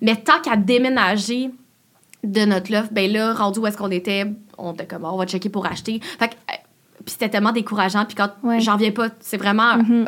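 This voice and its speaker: Fairly high in pitch, a woman talks at a fairly quick pace. Hers is an unremarkable speaking voice with fairly even intonation. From Quebec, Laval. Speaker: YouTuber and content creator. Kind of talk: casual interview chat.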